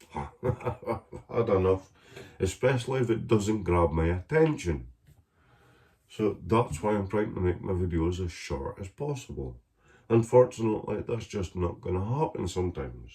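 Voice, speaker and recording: Somewhat breathy with a dark, mellow tone, a man's voice moves through very wide pitch swings. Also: fairly low pitch for a man, moderate pace. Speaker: home cooking vlogger. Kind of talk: casual cooking vlog. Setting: home kitchen. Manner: casual, sweary.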